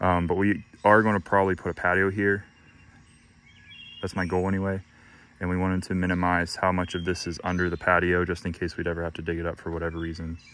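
A man's very deep, low voice, very fast and monotone, with a dry sound and no echo. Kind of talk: casual DIY walkthrough. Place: garden. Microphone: phone near.

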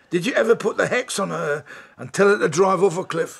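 A man speaks at a fairly quick pace in a put-on character voice, pitched high for a man, with vocal fry, a slightly husky edge and ordinary pitch variation.

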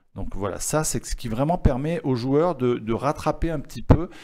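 A man talks at a fairly slow pace in a dark, mellow tone. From southern France (Var, Toulon area); southern France. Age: 50s. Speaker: chessboard maker; guest. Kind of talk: interview. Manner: hesitant, many fillers and repetitions. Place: studio. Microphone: studio mic.

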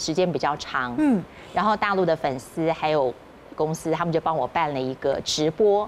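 A woman speaks at a fairly slow pace with lively intonation, over light background noise. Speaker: voice actor. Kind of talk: casual chat. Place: studio. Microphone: lapel.

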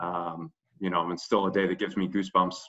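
Over a quiet background, a man with a very deep, low pitch speaks at a fairly quick pace in monotone, flat intonation. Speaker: head coach. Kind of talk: interview answer. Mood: emotional, reflective. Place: home room. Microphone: video call.

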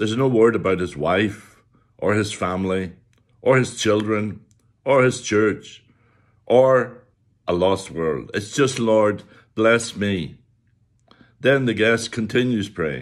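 A man speaks very slowly, with long, frequent pauses, over a quiet background. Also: fairly low pitch for a man, ordinary pitch variation. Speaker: preacher. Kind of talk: sermon. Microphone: webcam.

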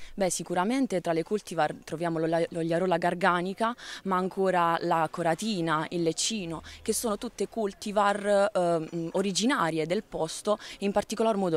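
With a plain, everyday voice, a woman speaks at fairly low pitch and a moderate pace. Her pitch variation is ordinary, and the sound is dry with no echo. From Carpino, Gargano, Apulia; Apulia. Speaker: olive oil producer. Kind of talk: interview. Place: street. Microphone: handheld.

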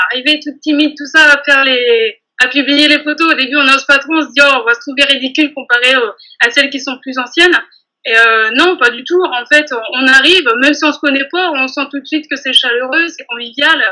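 Raising and projecting her voice, a woman speaks in a high pitch with a bright, sharp tone, fairly even intonation and a fairly quick pace against a quiet background. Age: 30s. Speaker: bakery saleswoman and nail technician trainee; bakery saleswoman. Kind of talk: testimony interview. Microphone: video call.

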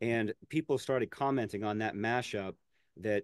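A man with a fairly low pitch talks at a moderate pace. The sound is dry with no echo, over a quiet background. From western Pennsylvania. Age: 40s. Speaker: music teacher and mashup creator; music teacher, mashup creator. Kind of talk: casual interview. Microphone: video call.

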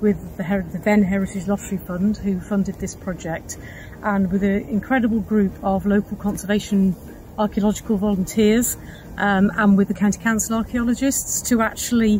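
A woman talks at a moderate pace in a flat monotone. The sound is dry with no echo, over light background noise. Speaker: nature reserve guide. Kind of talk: guided tour explanation to camera. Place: open country. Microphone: lapel.

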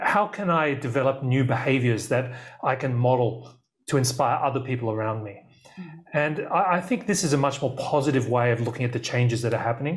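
The speech comes at a fairly quick pace, somewhat breathy, against a quiet background. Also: man, ordinary pitch variation. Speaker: remote guest. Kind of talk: interview answer. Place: studio.

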